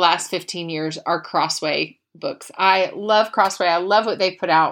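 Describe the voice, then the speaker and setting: Heard on a very clean recording with a silent background, a woman speaks at a fairly slow pace in an unremarkable speaking voice. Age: 40s. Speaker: podcast host. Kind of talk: casual chat with book reading. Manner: chatty, with many fillers.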